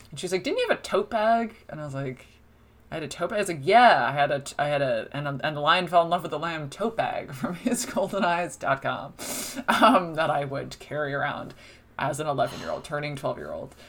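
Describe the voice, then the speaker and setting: With an American accent, a woman talks fairly quickly in a fairly low voice, her intonation lively and her loudness swinging widely, against noticeable background noise. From US Northeast, New Jersey shore. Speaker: film critic. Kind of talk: casual chat. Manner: animated.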